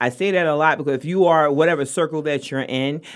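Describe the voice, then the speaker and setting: On a very clean recording with a silent background, a woman with a very deep, low pitch talks at a fairly quick pace in a Brooklyn accent. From New York, Brooklyn. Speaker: artist promoter. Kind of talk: casual chat. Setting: studio.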